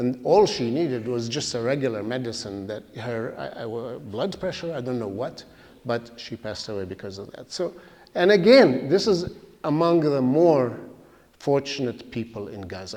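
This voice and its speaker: Speaking with an Arabic accent, a man talks at a moderate pace and medium pitch with lively intonation. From Palestine, East Jerusalem. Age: 70s. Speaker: guest speaker. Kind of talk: public talk. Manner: halting.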